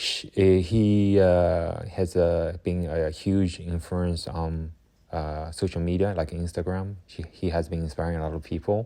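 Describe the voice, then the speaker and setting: Against a quiet background, a man with a non-native accent speaks in a very deep, low pitch with a dark, mellow tone, flat monotone intonation and a fairly slow pace. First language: not English. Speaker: watercolor artist. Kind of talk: casual chat. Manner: halting.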